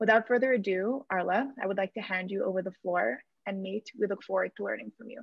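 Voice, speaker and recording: A woman at a medium pitch with vocal fry, a very fast pace and big swings in loudness, in a dry sound with no echo and a quiet background. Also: ordinary pitch variation. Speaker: law student intern. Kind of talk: prepared opening remarks. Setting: video call. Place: home room. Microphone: earbuds.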